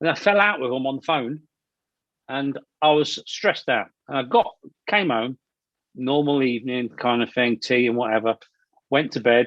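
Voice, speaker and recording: With an East Midlands accent, the speaker leaves long, frequent pauses, and the sound is dry and close with no echo. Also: man, medium pitch for a man, ordinary pitch variation, moderate pace. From Leicestershire, England. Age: 40s. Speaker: actor and filmmaker. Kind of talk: interview. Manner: halting, many repetitions; loud.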